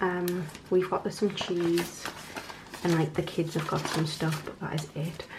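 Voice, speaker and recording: The voice is flat and monotone at a fairly slow pace, with noticeable background noise. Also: woman, fairly low pitch for a woman. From North East England. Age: 20s. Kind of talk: casual talk to camera.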